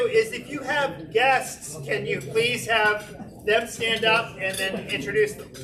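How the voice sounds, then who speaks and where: A man's raised, projected voice, high-pitched, with lively intonation, audible room echo and noticeable background noise. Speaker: club member leading meeting. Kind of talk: meeting address. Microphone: no microphone, PA down.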